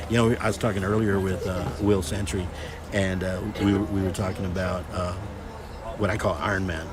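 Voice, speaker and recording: A man's very deep, low voice with a Texan accent, monotone and flat, at a moderate pace with long, frequent pauses, audible room echo and noticeable background noise. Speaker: high school football webcast commentator. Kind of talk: live sports commentary. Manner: loud; casual, rambling.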